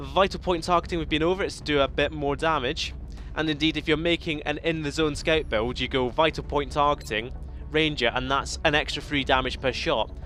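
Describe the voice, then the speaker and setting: A man speaks fairly quickly, with music in the background. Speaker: gaming video creator. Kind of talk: let's play commentary. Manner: animated.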